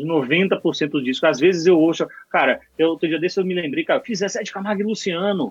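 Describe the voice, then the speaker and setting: Ordinary pitch variation marks a man speaking at a fairly slow pace. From Bahia, Brazil. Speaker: mixing engineer. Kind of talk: casual chat.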